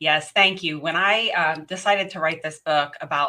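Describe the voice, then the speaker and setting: With a slight West Virginia accent, a woman talks with ordinary pitch variation. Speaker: professional organizer and author. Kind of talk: interview.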